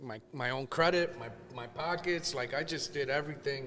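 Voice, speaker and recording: A man in an American accent talks at a moderate pace with a fairly high pitch, an ordinary speaking voice. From New Jersey. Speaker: sneaker store owner. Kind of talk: podcast interview.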